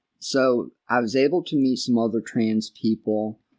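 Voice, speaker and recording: A man with an American accent speaks at a fairly slow pace in a dark, mellow tone with fairly even intonation. The sound is dry and close with no echo, on a very clean recording with a silent background. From US Northeast, northern New Jersey. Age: 70s. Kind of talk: podcast interview. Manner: halting.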